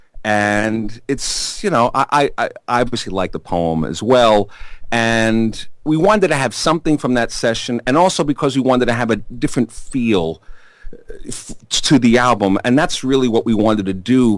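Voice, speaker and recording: A man with a strong Brooklyn accent speaks at a medium pitch and moderate pace with lively intonation. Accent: thick Brooklyn. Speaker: rock musician, singer-songwriter. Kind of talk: interview. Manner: animated storytelling.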